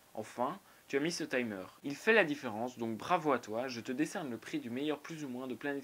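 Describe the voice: Ordinary pitch variation in plain reading aloud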